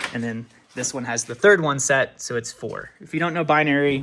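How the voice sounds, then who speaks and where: The recording is very clean, with a silent background. A man speaks at a fairly quick pace in a fairly high voice. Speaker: DIY homeowner. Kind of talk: casual walkthrough tutorial. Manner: fast; halting, many fillers.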